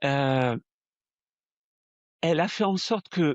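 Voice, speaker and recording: This voice has a southern French accent and ordinary pitch variation. The pace is very slow. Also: man. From southern France. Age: 60s. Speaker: spiritual medium. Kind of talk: interview testimony. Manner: hesitant, frequent fillers and repetitions.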